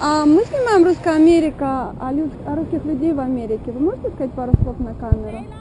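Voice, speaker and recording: A woman talks in a high pitch at a fairly quick pace. Noticeable background noise runs underneath. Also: lively intonation. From Russia, Moscow. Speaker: street interviewer. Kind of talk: street interviews. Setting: outdoors, beach.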